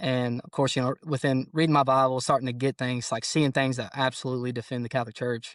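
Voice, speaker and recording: The speaker has a Kentucky accent and talks at a very fast pace with hardly any pauses. Intonation stays fairly even, and the sound is dry and close with no echo. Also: man, medium pitch for a man. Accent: Kentucky Southern American. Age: 20s. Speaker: police officer. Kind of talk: casual interview.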